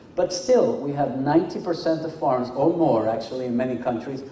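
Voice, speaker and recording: A man's fairly high-pitched voice at a fairly quick pace, with ordinary pitch variation, audible room echo and noticeable background noise. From Venezuela, then Mexico. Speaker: engineering academic speaker. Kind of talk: conference lecture. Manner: hesitant with fillers and repetitions.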